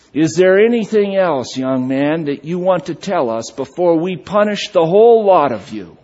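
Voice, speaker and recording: A man puts on a growling character voice, high in pitch, with lively intonation at a moderate pace. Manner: growling, stern.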